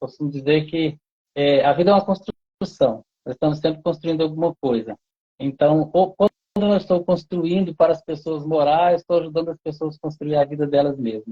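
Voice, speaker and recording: A man with an ordinary speaking voice talks at a moderate pace in a fairly high pitch, with ordinary pitch variation. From Goiás, Brazil. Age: 40s. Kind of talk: interview.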